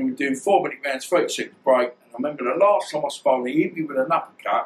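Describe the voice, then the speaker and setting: A man speaks at a very fast pace. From East London / Essex, England. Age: 50s. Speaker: former pro boxer. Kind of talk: interview.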